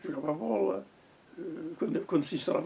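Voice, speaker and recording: A man speaks against noticeable background noise. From Portugal, Leiria. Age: 80s+. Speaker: oral history interviewee. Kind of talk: oral history interview. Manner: halting, repeats words.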